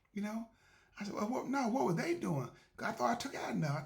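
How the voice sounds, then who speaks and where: A high-pitched man talking at a very fast pace amid noticeable background noise. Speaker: podcast host. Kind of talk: casual monologue. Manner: fast when excited; halting, many repetitions.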